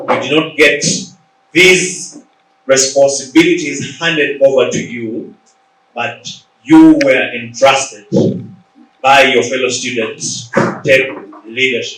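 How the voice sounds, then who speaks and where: A man with a Ugandan accent speaks at a fairly high pitch and a very slow pace. Long, frequent pauses break his speech, and audible room echo surrounds it. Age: 40s. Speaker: leadership coach and author. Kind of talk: motivational talk. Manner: animated.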